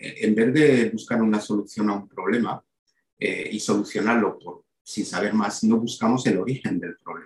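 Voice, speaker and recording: A man speaks with fairly low pitch. His pace is moderate. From Belgium, then Málaga from age 18. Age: 50s. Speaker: sales director and personal branding mentor. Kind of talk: interview. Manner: halting, frequent repetitions.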